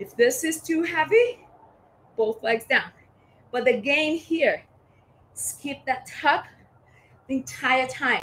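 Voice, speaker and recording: An energetic woman with an American accent, raised and projected voice, fairly slow pace, light background noise. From US Northeast (Boston). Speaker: fitness instructor. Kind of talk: live workout class. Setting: livestream with chat. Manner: energetic, coaching. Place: garden. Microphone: camera far.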